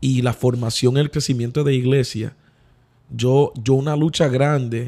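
A man's dark, mellow voice at medium pitch, fairly slow in pace, with fairly even intonation. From US Northeast, New Haven, Connecticut. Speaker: pastor. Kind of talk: casual chat.

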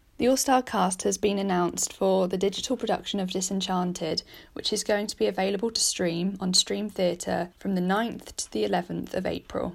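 With a British accent, a woman speaks at a moderate pace and medium pitch, her intonation fairly even, with vocal fry. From Britain. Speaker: podcast host. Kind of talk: news reading.

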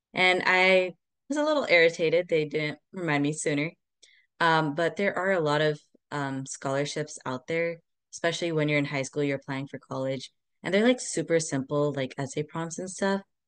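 With an American accent, a woman speaks at a moderate pace in a very deep, low pitch with ordinary pitch variation. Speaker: pre-med student, podcast co-host. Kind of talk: casual chat.

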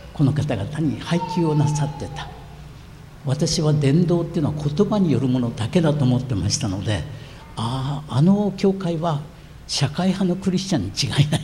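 Lively intonation marks this man's fairly high voice as he speaks at a moderate pace, with audible room echo around him. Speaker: pastor. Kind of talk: sermon.

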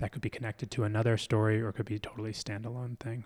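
In an American accent, a man with a normal speaking voice talks at a fairly low pitch with fairly even intonation on a very clean recording with a silent background. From US, Philadelphia. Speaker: mask maker and performer. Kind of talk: casual interview conversation.

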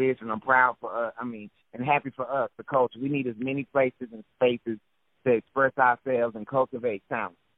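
In a Southern US accent, a man speaks at a fairly quick pace with a medium pitch and monotone, flat intonation. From US South. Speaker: poet. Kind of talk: poetry reading.

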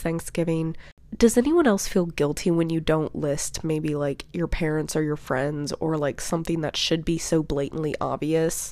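At a moderate pace, a woman speaks in a fairly low, dark, mellow tone with ordinary pitch variation. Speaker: podcast host. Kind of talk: casual solo monologue. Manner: chatty, filler-heavy.

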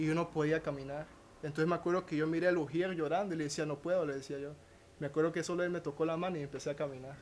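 A man's fairly high, monotone voice with flat intonation, delivered at a very fast pace. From Honduras. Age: 20s. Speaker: professional dancer. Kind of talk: testimony.

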